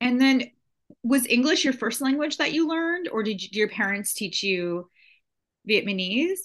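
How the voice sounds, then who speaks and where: The speech keeps a moderate pace. Its pitch moves through very wide swings. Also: woman, high pitch for a woman. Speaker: podcast host. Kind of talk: casual interview.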